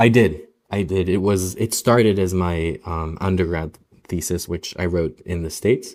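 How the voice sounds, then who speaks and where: Very deep, low-pitched man at a moderate pace, with fairly even intonation, in a very clean recording with a silent background. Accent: Israeli. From Israel, Tel Aviv. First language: Hebrew. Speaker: novelist and film director. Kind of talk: interview conversation. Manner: halting, many repetitions and fillers.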